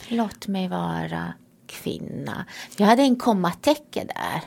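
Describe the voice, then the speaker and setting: This woman speaks at a very slow pace. She has a Romanian accent. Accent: Romanian-accented Swedish. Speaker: priest. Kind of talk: casual chat.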